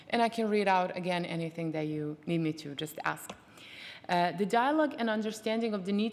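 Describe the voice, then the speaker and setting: Over noticeable background noise, a woman speaks at a fairly quick pace. Her pitch is medium, with ordinary variation. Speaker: conference rapporteur lead. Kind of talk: reading out conference messages. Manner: fast.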